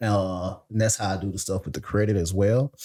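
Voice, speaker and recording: This man has a Mississippi accent and a fairly low pitch. His dark, mellow tone moves at a fairly quick pace. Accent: Mississippi Southern. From Mississippi, US South. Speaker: software engineer and credit consultant. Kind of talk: podcast interview.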